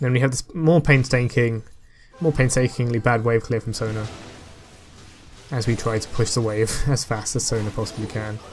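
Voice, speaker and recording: A man's mumbling at medium pitch and moderate pace, fairly even intonation, long frequent pauses, music in the background. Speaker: gaming commentator. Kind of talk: gameplay commentary.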